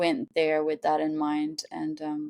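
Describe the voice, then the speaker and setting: A woman speaks with a French Canadian accent. The sound is dry and close, with no echo. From Montreal, Quebec. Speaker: artist. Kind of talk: podcast interview. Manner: halting.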